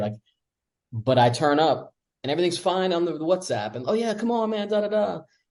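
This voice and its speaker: Very fast speech in an American accent, somewhat breathy with a dark, mellow tone, swings very widely in pitch. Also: man. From United States. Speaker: expat podcast guest. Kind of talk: casual chat.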